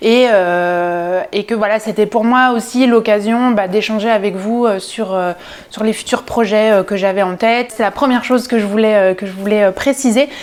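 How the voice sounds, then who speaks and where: A woman with a fairly high pitch, at a moderate pace with fairly even intonation, against noticeable background noise. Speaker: sewing youtuber. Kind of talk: casual vlog haul. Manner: hesitant, many fillers.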